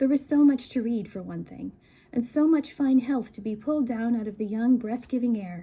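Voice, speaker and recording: A woman speaks at a moderate pace in a high, dark, mellow voice with ordinary pitch variation. Her loudness swings a lot. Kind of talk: book reading, soft-spoken ASMR. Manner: soft-spoken, conversational, relaxing.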